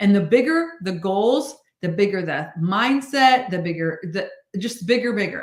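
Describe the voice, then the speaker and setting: A woman speaks at a fairly slow pace in a medium pitch, her animated tone marked by very wide pitch swings, with audible room echo. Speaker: sales team leader. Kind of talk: prayer; motivational team meeting livestream. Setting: livestream.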